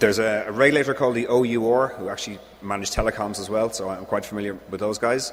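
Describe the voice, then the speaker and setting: With a strong Irish accent, a man at medium pitch speaks very fast and hardly pauses. There is noticeable background noise and audible room echo. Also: fairly even intonation. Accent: Irish, thick. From Ireland. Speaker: engineer presenting at a conference. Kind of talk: conference Q&A answer.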